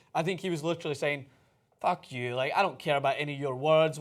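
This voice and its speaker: A man with a Scottish accent at a very fast pace, on a very clean recording with a silent background. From Scotland. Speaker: sports show co-host. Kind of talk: casual chat. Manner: animated.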